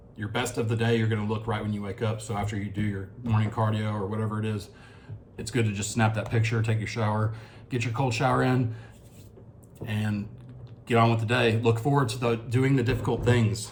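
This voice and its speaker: Somewhat breathy, a man speaks at a fairly quick pace in a monotone, flat intonation, with audible room echo. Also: fairly low pitch for a man. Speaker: fitness vlogger. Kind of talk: casual video diary. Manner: halting.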